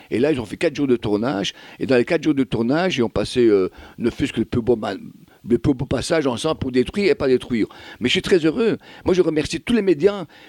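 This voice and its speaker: A man with a fairly high pitch talks at a very fast pace with lively intonation, his voice dry and close with no echo in a very clean recording with a silent background. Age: 60s. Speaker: singer-songwriter. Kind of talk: radio interview.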